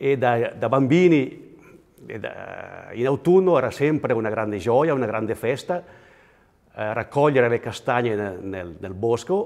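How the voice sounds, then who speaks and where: A man talks fairly slowly, his medium-pitched voice showing lively intonation. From Switzerland, Graubünden, Val Poschiavo (Italian-speaking). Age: 60s. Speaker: interviewee in regional portrait. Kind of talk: personal reminiscence interview. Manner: halting, with fillers and repetitions.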